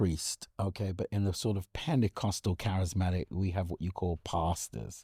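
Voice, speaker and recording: On a very clean recording with a silent background and a dry, close sound with no echo, a man speaks somewhat breathily at a fairly slow pace. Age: 60s. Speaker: bishop. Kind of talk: interview conversation.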